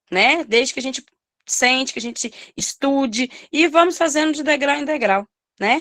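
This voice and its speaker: A woman's bright, sharp, high voice at a moderate pace, broken by long, frequent pauses. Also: ordinary pitch variation. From Minas Gerais, Brazil. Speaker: preschool teacher. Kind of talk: study group discussion.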